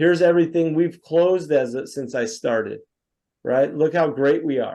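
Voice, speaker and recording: At a moderate pace, a man talks in a fairly high pitch with a dark, mellow tone and ordinary pitch variation against a quiet background. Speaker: software sales presenter; presenter. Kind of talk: product demo. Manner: animated. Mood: lightly ironic. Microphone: video call.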